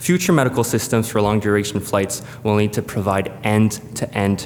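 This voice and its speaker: A fairly low-pitched male voice at a fairly quick pace, with noticeable background noise. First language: French. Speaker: space agency presenter. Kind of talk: conference presentation. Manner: hesitant, many fillers.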